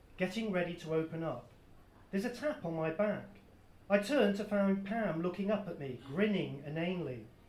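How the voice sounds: A natural reading voice, pitch varying in an ordinary way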